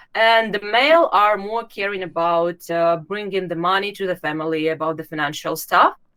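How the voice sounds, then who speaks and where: The woman's voice has a bright, sharp tone at a medium pitch with ordinary pitch variation. She talks at a moderate pace with hardly any pauses. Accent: Russian. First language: Russian. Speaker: YouTube channel host, former recruiter. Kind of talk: interview. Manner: halting, many hesitations.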